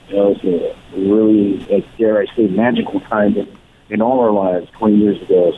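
Someone with a Californian accent talks at a fairly quick pace against noticeable background noise. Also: man. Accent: Californian American English. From Los Angeles. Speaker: rock musician. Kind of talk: interview.

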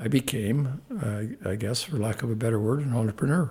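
A somewhat breathy man with a Canadian accent. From Canada, Saskatoon, Saskatchewan. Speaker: former athlete and businessman. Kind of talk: interview.

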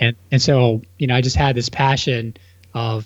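At a medium pitch, a man speaks in a somewhat breathy voice with monotone, flat intonation. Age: 30s. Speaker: real estate entrepreneur. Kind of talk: casual chat.

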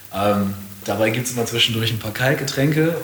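Delivery is very fast with lively intonation. Noticeable background noise and audible room echo fill the recording. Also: man. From northern Germany, rural Lower Saxony. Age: 30s. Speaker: entrepreneur and investor. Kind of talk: casual interview. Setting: guest's place in Hamburg.

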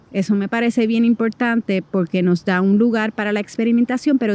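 With a Puerto Rican accent, a woman with a fairly high pitch speaks with ordinary pitch variation in a dry, close sound with no echo. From Puerto Rico. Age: 40s. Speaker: movement artist. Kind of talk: personal interview monologue.

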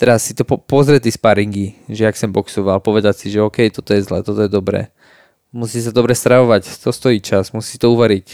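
A man with a plain, everyday voice talks at a fairly quick pace, his pitch fairly low and his intonation fairly even, in a dry, close sound with no echo. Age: 20s. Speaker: professional MMA fighter. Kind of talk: casual chat.

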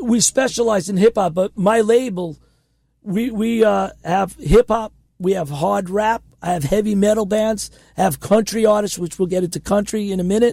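A man with an American accent speaks at a moderate pace in a dark, mellow tone. His pitch is high, with ordinary variation. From Queens, New York. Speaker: indie record label founder and musician. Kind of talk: casual interview chat. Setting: radio studio.

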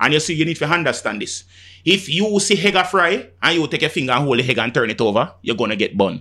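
An animated man's voice, fairly high in pitch with a bright, sharp tone, very wide pitch swings and a very fast pace, on a very clean recording with a silent background. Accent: Jamaican. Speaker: music selector / DJ. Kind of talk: casual chat.

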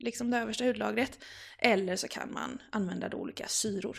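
A woman with a normal speaking voice, medium pitch, and a moderate pace. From Gothenburg, Sweden. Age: 20s. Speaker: style blogger and teacher. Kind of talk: casual interview.

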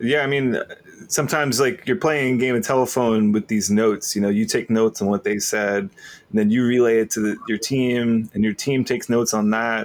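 A man with a normal speaking voice, medium pitch, ordinary pitch variation, a moderate pace and very even loudness. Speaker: podcast host. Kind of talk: casual interview conversation. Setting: remote call.

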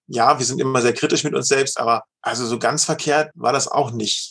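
A man speaks in a plain, everyday voice at a medium pitch and a moderate pace, with fairly even intonation and hardly any pauses. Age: 50s. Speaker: leadership coach and managing director. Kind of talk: interview.

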